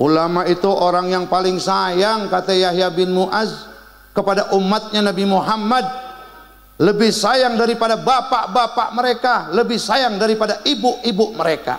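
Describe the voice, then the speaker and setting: Over noticeable background noise and audible room echo, a man in a Jakarta accent speaks at a moderate pace with an animated tone, a high pitch, and very even loudness. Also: ordinary pitch variation. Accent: Betawi Indonesian. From Betawi, Jakarta/Bekasi area, Indonesia. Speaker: Islamic preacher. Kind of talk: religious sermon with humor.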